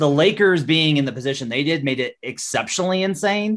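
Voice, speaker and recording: A man talks at a fairly quick pace in a plain, everyday voice, with a fairly high pitch and ordinary pitch variation. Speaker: NBA journalist. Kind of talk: casual sports betting chat.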